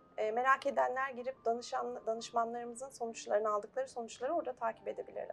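Hardly any pauses break up this woman's very fast speech. Background noise is noticeable throughout. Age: 40s. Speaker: life coach. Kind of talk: TV interview.

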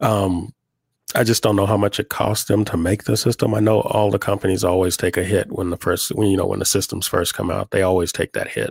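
With an American accent, a man speaks at a fairly quick pace in a fairly low, somewhat breathy, monotone voice, the sound dry and close with no echo on a very clean recording with a silent background. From Oklahoma. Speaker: podcast co-host. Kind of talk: casual chat.

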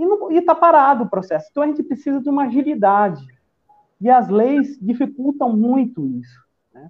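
The delivery has lively intonation, a moderate pace and big swings in loudness. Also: man, extremely high pitch for a man. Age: 40s. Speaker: civil engineer and political activist. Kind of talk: casual political chat.

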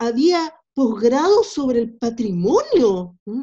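Dark, mellow tone throughout. The pace is very slow. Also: woman. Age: 50s. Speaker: philosopher and essayist. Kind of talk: interview. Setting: remote call. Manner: halting, with frequent repetitions.

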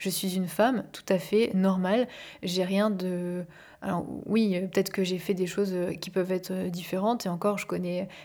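Calm in tone, a woman speaks at a medium pitch and moderate pace with a dark, mellow tone and monotone, flat intonation on a very clean recording with a silent background. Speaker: life coach and podcast host. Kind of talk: personal monologue. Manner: soothing. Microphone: microphone, not a professional studio.

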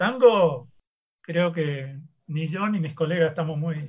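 A man with an ordinary speaking voice talks at a fairly high pitch for a man, with ordinary pitch variation. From Rosario, Argentina. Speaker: university professor. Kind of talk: casual chat.

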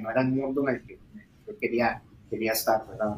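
This is a man talking. He has a Costa Rican accent. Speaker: startup founder. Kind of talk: interview.

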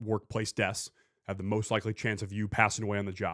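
An unremarkable speaking voice from a man, fairly low in pitch, moves at a fairly quick pace. The recording is very clean, with a silent background. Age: 20s. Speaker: podcast host. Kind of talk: casual podcast chat.

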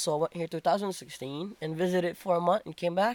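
A man's high-pitched voice, dry and close with no echo, in a very clean recording with a silent background. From Philippines. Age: young. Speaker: guest. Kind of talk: casual chat.

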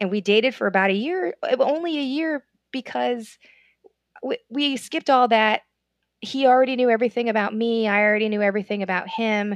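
A woman's fairly high, fairly quick speech with an American accent and ordinary pitch variation, broken by long, frequent pauses, in a dry, close sound with no echo over a quiet background. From United States. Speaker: comedian and travel agent. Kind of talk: casual chat.

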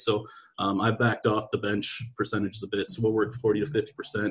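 Here a man speaks at a fairly quick pace. His voice is somewhat breathy, with a medium pitch. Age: 20s. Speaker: athletic strength coach. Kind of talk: casual chat. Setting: video call.

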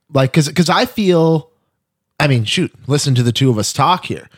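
In a very clean recording with a silent background and a dry, close sound with no echo, a man with an ordinary speaking voice talks at a moderate pace with lively intonation. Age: 30s. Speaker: podcast host. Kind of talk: casual chat. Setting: studio.

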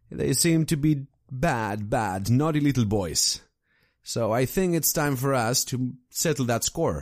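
A normal speaking voice at a fairly slow pace, lively in intonation and very even in loudness, on a very clean recording with a silent background. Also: man, medium pitch for a man. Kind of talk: tabletop RPG game master narration. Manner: descriptive, storytelling.

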